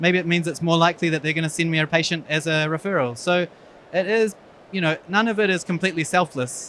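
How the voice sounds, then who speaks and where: A man's high-pitched voice with a New Zealand accent, bright and sharp in tone, with fairly even intonation, at a very fast pace. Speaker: eye surgeon. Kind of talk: conference talk.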